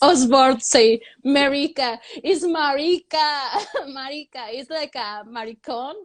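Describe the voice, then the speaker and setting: A woman with a Mexican accent and a high voice speaks with big swings in loudness against a quiet background. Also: ordinary pitch variation. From Mexico. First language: Spanish. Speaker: comedian. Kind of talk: stand-up. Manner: halting.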